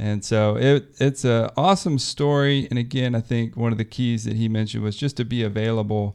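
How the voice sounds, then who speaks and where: An ordinary speaking voice moves at a fairly quick pace with hardly any pauses. Pitch variation is ordinary, and the background is quiet. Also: man, medium pitch for a man. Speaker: podcast host.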